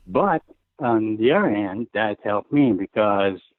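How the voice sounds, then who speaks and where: Speaking with a French-Canadian accent, this man has a fairly low pitch. His pace is fairly slow, and his pitch varies in an ordinary way. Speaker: retired hockey goaltender. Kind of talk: interview. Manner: halting.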